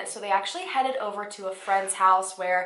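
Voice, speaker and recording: A woman's voice with ordinary pitch variation, amid audible room echo. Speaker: true crime youtuber. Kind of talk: storytelling narration to camera. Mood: serious, somber. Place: home room.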